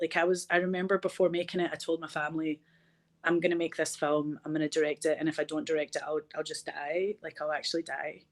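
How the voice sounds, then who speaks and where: The speaker has a Glasgow accent and a fairly quick pace. The recording is very clean, with a silent background and a dry, close sound with no echo. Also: woman. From Scotland, Glasgow. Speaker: film director and actor. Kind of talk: interview conversation. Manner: animated.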